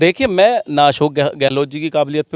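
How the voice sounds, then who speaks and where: No echo at all, just a dry, close sound. The voice moves with lively intonation. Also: man. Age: 30s. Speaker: politician. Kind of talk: interview. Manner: halting.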